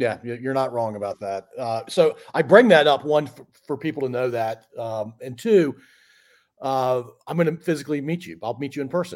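This man has an ordinary speaking voice with lively intonation, a medium pitch and big swings in loudness. He speaks at a moderate pace in a very clean recording with a silent background. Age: 50s. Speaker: podcast host. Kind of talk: casual chat.

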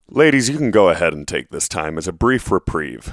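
The sound is dry and close with no echo, and the recording is very clean over a silent background. The speaker moves at a fairly quick pace with very wide pitch swings. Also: man. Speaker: podcast co-host. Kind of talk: casual chat.

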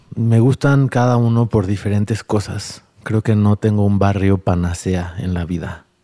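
Recorded with a dry, close sound and no echo, a man speaks in a dark, mellow tone with fairly even intonation. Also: fairly low pitch for a man, fairly slow pace. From Mexico City area (Tlalnepantla periphery). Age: 40s. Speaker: sustainable development entrepreneur. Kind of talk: interview conversation.

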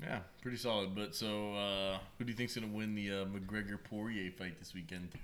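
The man's voice sits at a fairly low pitch. Audible room echo surrounds it. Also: fairly quick pace. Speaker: podcast host. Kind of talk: casual chat. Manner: animated.

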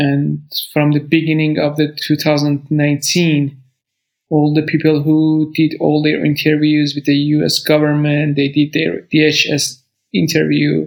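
A man with a Persian accent talks at a very slow pace in a fairly high pitch, his intonation monotone and flat and his loudness very even. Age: 30s. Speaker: refugee. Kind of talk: interview testimony. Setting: video call.

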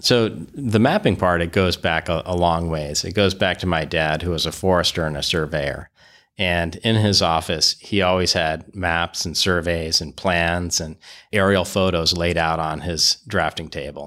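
On a very clean recording with a silent background, a man speaks with very deep, low pitch and fairly even intonation. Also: moderate pace. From Vermont, East Barnard. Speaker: state road mapping official, road historian. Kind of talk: interview, explanatory. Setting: office.

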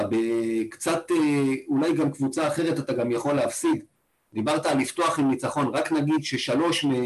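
A man's plain, everyday voice at a fairly high pitch and a moderate pace. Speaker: fan podcast co-host. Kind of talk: casual chat. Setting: video call.

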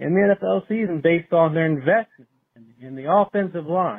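A man with a Philadelphia accent at a moderate pace. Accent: Delco (Delaware County, Pennsylvania). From born and raised in Delaware County, Pennsylvania; lives in Upper Bucks County. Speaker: voicemail caller to a podcast. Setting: phone voicemail.

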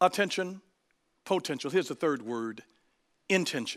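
Heard on a very clean recording with a silent background, a man with an American accent and a fairly high pitch talks in an animated tone at a moderate pace. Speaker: pastor. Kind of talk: sermon.

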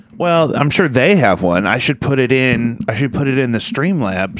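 A man's pitch swings very widely while noticeable background noise plays behind him. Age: 30s. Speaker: podcast host. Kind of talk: casual chat. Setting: home studio, livestream.

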